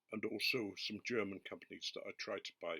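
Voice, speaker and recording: A man with an English accent, in a dry, close sound with no echo. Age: 70s. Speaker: pipe tobacco reviewer. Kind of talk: casual product review monologue.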